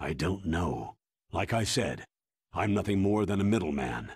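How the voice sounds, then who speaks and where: In a put-on character voice, a man growls at a very deep, low pitch, keeping a moderate pace, lively intonation and very even loudness. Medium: video game. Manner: measured, weary.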